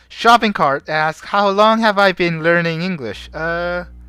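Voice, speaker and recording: The speaker talks at a moderate speed with music playing behind. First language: Korean. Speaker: streamer and fan translator. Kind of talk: live stream chat. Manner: casual, with hesitations.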